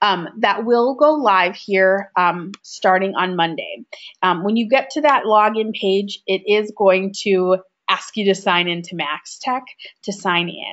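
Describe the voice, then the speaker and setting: A woman talks in a Minnesotan accent at a fairly slow pace. Her pitch is medium, with ordinary variation. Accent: Minnesota. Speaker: software trainer. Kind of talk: webinar tutorial.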